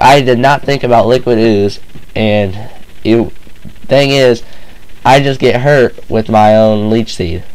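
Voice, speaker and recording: Against noticeable background noise, a man with medium pitch speaks at a fairly slow pace with ordinary pitch variation. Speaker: gamer, video game commentator. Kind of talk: casual game battle narration.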